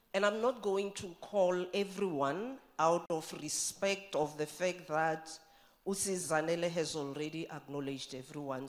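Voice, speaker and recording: The woman's pitch is fairly low, with ordinary pitch variation. She speaks at a fairly slow pace. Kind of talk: formal speech. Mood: warm, praising, upbeat. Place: hall. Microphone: podium.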